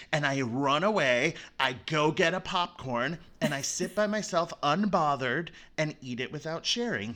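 On a very clean recording with a silent background, a man with an American accent speaks in a fairly high pitch, bright and sharp in tone, with lively intonation. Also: moderate pace. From Florida. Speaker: event producer and former performer. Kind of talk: casual chat.

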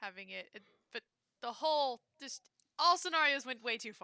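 A woman uses a raised, projected voice with a bright, sharp tone. Her pitch varies ordinarily, and the sound is dry and close with no echo. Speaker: podcast co-host. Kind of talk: casual chat.

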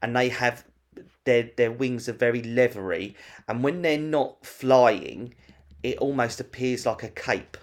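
Speaking at a fairly slow pace, a man uses an unremarkable speaking voice of medium pitch with ordinary pitch variation. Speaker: podcast host. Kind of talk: casual chat. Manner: chatty, informal.

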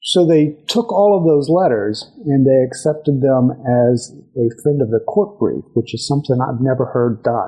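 Somewhat breathy, a man with a Texan accent speaks at a moderate pace in a fairly high pitch with lively intonation. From West Texas. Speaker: judge and political candidate. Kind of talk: interview. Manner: frequent hesitations (uh).

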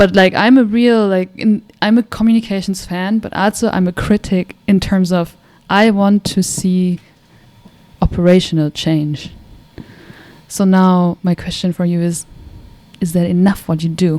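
Using long, frequent pauses and a fairly slow pace, a woman with a German accent speaks at a medium pitch with fairly even intonation. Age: young. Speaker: podcast host. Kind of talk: casual interview.

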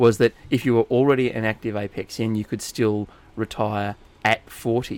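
A man with an Australian accent at a fairly slow pace, his intonation fairly even. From Inverell, New South Wales, Australia. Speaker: podcast host. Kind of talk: casual chat.

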